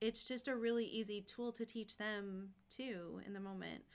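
In a normal speaking voice, a woman talks at a fairly slow pace with a fairly high pitch. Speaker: parish staff member, mother.

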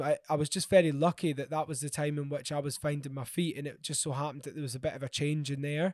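Against a silent background in a very clean recording, a man talks at a very fast pace with hardly any pauses. His pitch is fairly high. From Scotland, Glasgow. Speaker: jazz musician. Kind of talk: interview.

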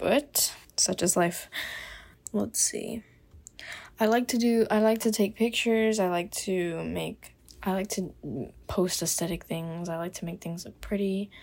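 A woman's medium-pitched voice with an American accent, fairly even intonation and long, frequent pauses on a very clean recording with a silent background. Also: fairly slow pace. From US South, Miami, Florida. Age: 20s. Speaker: podcast host, college student. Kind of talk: casual monologue. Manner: casual, filler-heavy.

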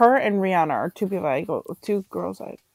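A woman mumbles in a put-on character voice at a fairly quick pace, her medium pitch carried by lively intonation and big swings in loudness. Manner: mumbling, trailing off.

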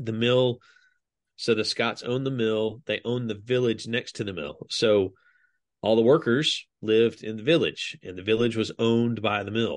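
Speaking in a normal speaking voice with an American accent, a man keeps a medium pitch, ordinary pitch variation and a moderate pace. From US South, DeKalb County, Georgia. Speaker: graphic designer. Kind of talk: casual chat.

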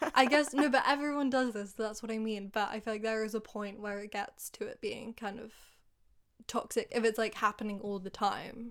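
In a very clean recording with a silent background, a woman with an English accent and fairly high pitch talks at a moderate pace, her intonation fairly even but her loudness swinging widely. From England. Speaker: podcast co-host. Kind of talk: casual chat.

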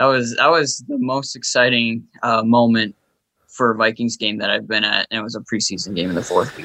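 Speaking at a fairly quick pace, a man has an unremarkable speaking voice at medium pitch with ordinary pitch variation. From Minnesota. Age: 20s. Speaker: sports writer and fan. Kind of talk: casual interview chat.

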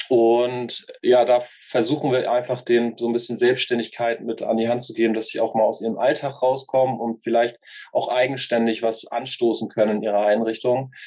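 A man keeps a moderate pace with hardly any pauses and monotone, flat intonation. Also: medium pitch for a man. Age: 30s. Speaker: youth work educator. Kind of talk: interview. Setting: video call.

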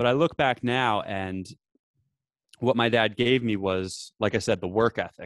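A man in a New Jersey accent speaks fairly slowly at a medium pitch with ordinary pitch variation, the sound dry and close with no echo. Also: quiet background. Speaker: veteran and podcaster. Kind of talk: casual chat. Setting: remote call from office.

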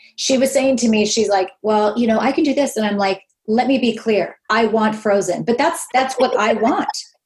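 Somewhat breathy, fairly high-pitched speech from a woman at a moderate pace, with ordinary pitch variation and very even loudness. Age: 50s. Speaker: podcast host. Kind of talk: casual interview.

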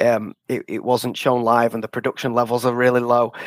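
In a northern English accent, a man speaks at a moderate pace with a dry, close sound and no echo. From northern England. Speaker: author. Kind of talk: interview. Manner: halting.

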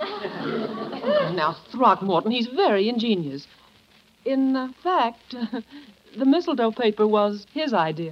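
In a put-on character voice, a woman speaks slowly at a fairly high pitch, with big pitch swings and long, frequent pauses.

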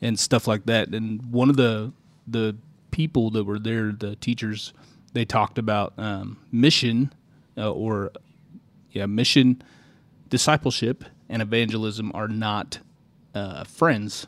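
Here a man talks at a moderate pace with fairly even intonation in an ordinary speaking voice. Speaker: truck driver, former church worker. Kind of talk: casual faith discussion. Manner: jokey, playful.

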